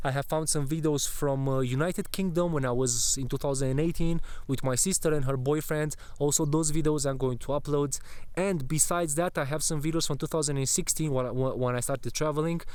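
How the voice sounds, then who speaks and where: With a Romanian accent, a man talks fairly quickly at a fairly high pitch. His intonation is fairly even, and there is audible room echo. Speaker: travel vlogger. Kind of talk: casual vlog chat. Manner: halting.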